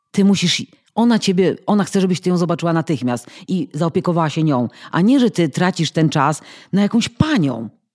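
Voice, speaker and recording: In a normal speaking voice, a woman talks at a moderate pace with a fairly low pitch and lively intonation. The recording is very clean, with a silent background. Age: 50s. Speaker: podcast guest. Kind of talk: casual interview.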